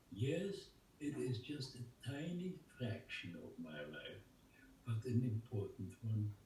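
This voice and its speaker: A man talks fairly slowly with vocal fry, a dark, mellow tone and a medium pitch. His pitch swings very widely. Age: 90s. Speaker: Holocaust survivor and artist. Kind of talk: interview answer. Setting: video call. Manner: slow, reflective, emotional.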